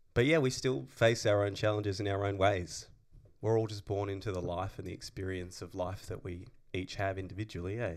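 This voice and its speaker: In an Australian accent, a man speaks with fairly low pitch and ordinary pitch variation at a fairly quick pace, on a very clean recording with a silent background. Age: 30s. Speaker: podcast co-host and actor. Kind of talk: casual chat.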